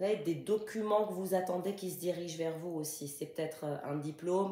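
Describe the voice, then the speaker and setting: Fairly low-pitched woman's voice with a dark, mellow tone, fairly even intonation, a moderate pace and audible room echo. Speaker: tarot card reader. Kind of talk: tarot reading.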